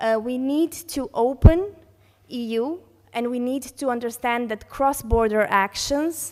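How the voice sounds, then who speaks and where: Over a silent background in a very clean recording, a woman with a Serbian accent speaks at a high pitch and a fairly slow pace, with ordinary pitch variation and big swings in loudness. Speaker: conference panelist, heritage network coordinator. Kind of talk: conference reflection speech. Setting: conference hall with audience. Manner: halting, many fillers.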